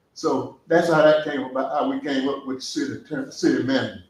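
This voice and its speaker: Audible room echo surrounds a man talking at a fairly quick pace with fairly even intonation. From US South, southwest Georgia. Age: 70s. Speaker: public commenter at city meeting, veteran. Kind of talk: public comment at council meeting. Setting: city council work session. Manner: impassioned.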